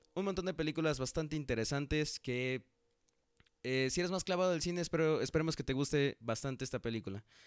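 Very fast speech with ordinary pitch variation, in a very clean recording with a silent background and a dry, close sound with no echo. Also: man, fairly high pitch for a man. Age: 20s. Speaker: podcast host. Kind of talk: casual solo podcast. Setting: on camera.

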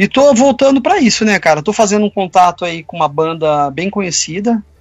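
A man at a fairly quick pace with lively intonation, music playing behind him. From Campinas, São Paulo state, Brazil. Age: 50s. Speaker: sculptor and illustrator. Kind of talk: casual interview chat.

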